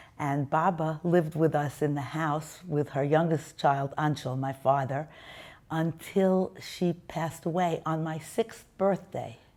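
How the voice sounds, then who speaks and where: With a New York accent, a woman speaks at a very deep, low pitch. Her tone is dark and mellow, and her pitch variation is ordinary. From US Northeast, Brooklyn, New York. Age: 70s. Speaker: interviewee sharing life story. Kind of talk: testimony.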